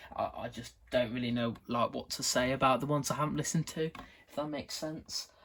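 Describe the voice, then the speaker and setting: Fairly high in pitch, a man rattles along at a fairly quick pace with hardly any pauses and fairly even intonation. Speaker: video creator showing collection. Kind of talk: casual show-and-tell vlog. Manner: halting, many fillers and repetitions.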